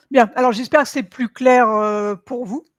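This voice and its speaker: A woman's high-pitched voice at a very slow pace, dry and close with no echo, on a very clean recording with a silent background. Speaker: hypnotherapist and esoteric live streamer. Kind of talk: live Q&A stream. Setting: livestream with chat. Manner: hesitant, many fillers.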